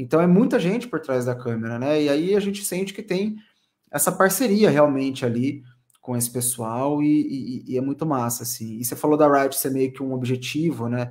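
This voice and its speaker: Over a quiet background, a man with a plain, everyday voice and fairly high pitch talks at a moderate pace with lively intonation. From interior of São Paulo state, Brazil (Assis); São Paulo state, Brazil. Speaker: esports caster; interviewee. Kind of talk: casual interview. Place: home room.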